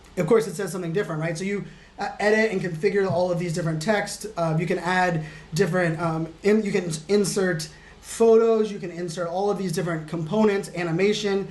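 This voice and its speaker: The speech comes at a fairly quick pace with fairly even intonation. There is noticeable background noise and audible room echo. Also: man, high pitch for a man. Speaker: digital futurist and keynote speaker. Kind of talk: screen-share tutorial. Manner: fast; casual, many fillers.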